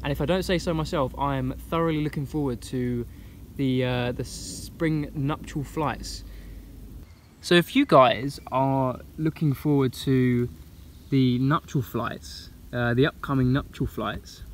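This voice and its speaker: Over light background noise, a man speaks at a fairly slow pace with ordinary pitch variation, the sound dry with no echo. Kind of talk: casual vlog chat. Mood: enthusiastic. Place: forest. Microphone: phone near.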